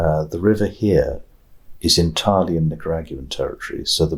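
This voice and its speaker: A man with a British accent talks at a fairly quick pace. The recording is very clean, with a silent background. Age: 60s. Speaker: retired international judge and law professor. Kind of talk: oral history interview. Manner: hesitant, with many fillers.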